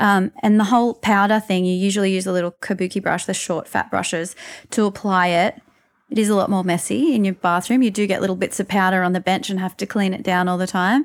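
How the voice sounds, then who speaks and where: A very fast woman's voice in an Australian accent, medium-pitched, with fairly even intonation and a very clean recording with a silent background. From Newcastle, Australia. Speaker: makeup artist and beauty blogger. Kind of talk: interview conversation.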